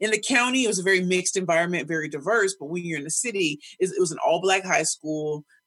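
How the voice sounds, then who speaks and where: The speech rushes by at a very fast pace with hardly any pauses. It carries an American accent and an energetic tone. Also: woman, medium pitch for a woman, ordinary pitch variation. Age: 40s. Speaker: professional speaker and pitch coach. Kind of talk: casual interview.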